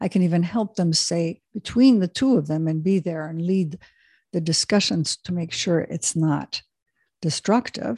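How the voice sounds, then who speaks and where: Breathy to some degree, a woman talks fairly slowly in a fairly low, dark and mellow voice, recorded dry and close with no echo. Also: ordinary pitch variation. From Switzerland. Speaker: executive coach. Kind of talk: interview.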